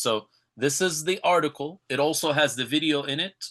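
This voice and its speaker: A man with an American accent speaks at a moderate pace in a fairly high voice. His tone is bright and sharp, and the background is quiet. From California. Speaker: Islamic teacher. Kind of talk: online lecture. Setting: live webinar.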